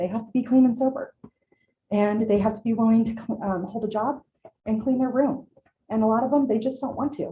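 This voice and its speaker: Speaking at a fairly quick pace, a woman uses a fairly high pitch with ordinary variation in a dark, mellow, somewhat breathy tone. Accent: American. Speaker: small business owner. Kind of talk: public comment at council meeting. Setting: city council chamber. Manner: halting.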